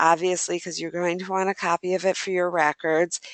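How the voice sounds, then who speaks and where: A woman with a normal speaking voice talks at a moderate pace and medium pitch. The sound is dry and close with no echo, over a quiet background. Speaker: pre-health advisor. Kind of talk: workshop presentation.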